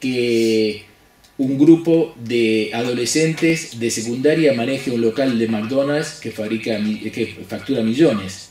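A man speaks very slowly with a Rioplatense accent. Room echo is audible. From Argentina. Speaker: business consultant; business coach. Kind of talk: lecture; casual chat. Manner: halting. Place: office.

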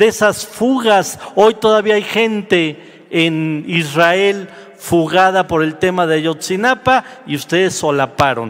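A high-pitched man speaks at a very slow pace. His intonation is lively. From Mexico. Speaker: senator. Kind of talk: parliamentary speech. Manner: combative. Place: hall. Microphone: podium.

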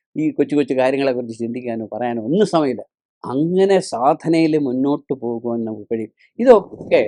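Heard dry and close with no echo, a man's medium-pitched voice carries a dark, mellow tone and lively intonation. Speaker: spiritual teacher. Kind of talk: religious discourse.

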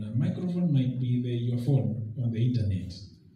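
There is audible room echo and light background noise. A man talks at a moderate pace. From Kenya. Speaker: government treasury representative; public speaker. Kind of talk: formal public speech. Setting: public forum with audience and microphone. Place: hall. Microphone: camera far.

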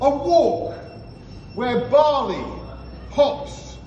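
A man speaks at a very slow pace in a high pitch. There is audible room echo and light background noise. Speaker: town crier. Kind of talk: town crier proclamation, rhymed verse. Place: bar. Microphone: camera far.

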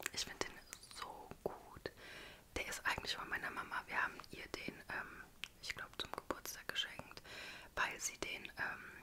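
A woman whispers at a fairly slow pace. Her speech has long, frequent pauses. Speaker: ASMR creator. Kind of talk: ASMR whisper video. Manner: whispered. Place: home room. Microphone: studio mic.

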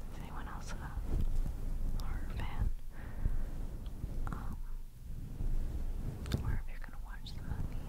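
The speech moves at a very slow pace. Long, frequent pauses break it up. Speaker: ASMR creator. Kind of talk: ASMR trigger video. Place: home room. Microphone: studio mic.

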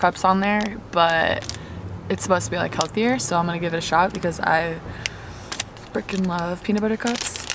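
A woman's fairly even delivery, dry with no echo, over noticeable background noise. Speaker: vlogger. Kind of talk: casual vlog chat. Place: car. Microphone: phone near.

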